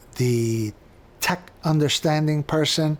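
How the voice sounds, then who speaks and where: A man with a fairly high pitch and a New York accent. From New York City, the Bronx. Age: 60s. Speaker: bookstore co-owner. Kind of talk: documentary interview; casual chat.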